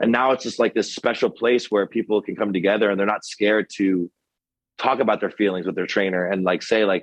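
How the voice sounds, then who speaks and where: At a fairly quick pace, a man with an American accent speaks at a fairly low pitch. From Connecticut, US. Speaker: gym owner, trainer and combat veteran. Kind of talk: podcast interview. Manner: loud; animated.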